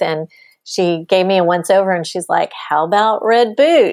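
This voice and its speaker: A woman with a fairly low pitch and an American accent speaks at a moderate pace in an unremarkable speaking voice. The sound is dry and close with no echo, in a very clean recording with a silent background. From Texas. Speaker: business consultant. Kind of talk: interview.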